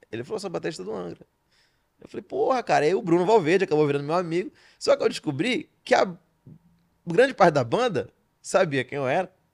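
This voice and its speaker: In a dry, close sound with no echo, a man with a high pitch talks at a very fast pace, with long, frequent pauses, big swings in loudness, and very wide pitch swings. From Belém, Pará, Brazil. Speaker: stand-up comedian and writer. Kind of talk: casual podcast interview. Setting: studio. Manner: fast-talking, now tries to articulate more.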